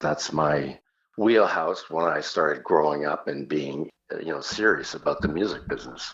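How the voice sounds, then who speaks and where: A man with a very deep, low pitch, ordinary pitch variation and a moderate pace. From Canada. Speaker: singer. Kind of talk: interview.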